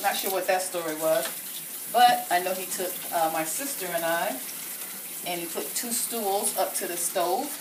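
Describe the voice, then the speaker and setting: A woman's voice, with noticeable background noise and audible room echo. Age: 50s. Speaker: home cook. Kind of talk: cooking demonstration. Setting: home kitchen. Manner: casual, with filler words.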